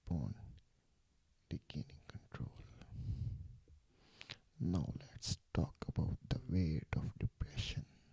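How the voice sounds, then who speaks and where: Someone whispers in a gentle tone at a very slow pace. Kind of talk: ASMR sleep relaxation talk, soft-spoken guidance. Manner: soft-spoken, gentle, lo-fi whisper.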